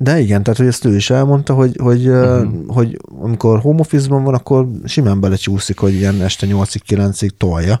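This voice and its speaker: A man with a medium pitch and a dark, mellow tone talks at a fairly quick pace with hardly any pauses. His pitch varies in an ordinary way and his loudness stays very even. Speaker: podcast co-host. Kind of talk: casual chat.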